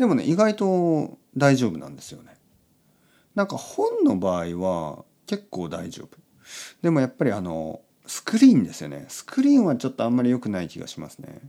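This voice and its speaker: Big swings in loudness mark this man's relaxed tone as he speaks at a moderate pace on a very clean recording with a silent background. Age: 40s. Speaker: podcast host for Japanese learners. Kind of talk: casual bedtime monologue.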